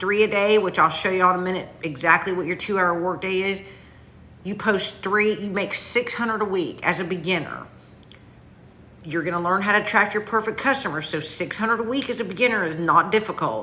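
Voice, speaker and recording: A woman in a strong Southern US accent, medium-pitched with ordinary pitch variation, at a moderate pace. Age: 50s. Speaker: online business coach. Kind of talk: livestream sales pitch. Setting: livestream. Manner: casual, chatty.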